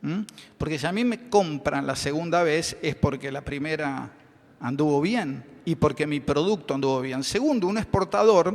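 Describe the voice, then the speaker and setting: His intonation is lively. The man talks at a fairly slow pace with a fairly high pitch. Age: 60s. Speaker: chemist and business owner. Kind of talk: conference panel talk. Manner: hesitant, many fillers.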